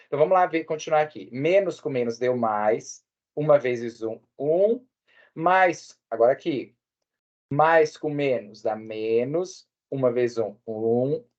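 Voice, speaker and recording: A man at a very slow pace, fairly high in pitch with lively intonation, against a quiet background. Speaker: math teacher. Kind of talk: lecture.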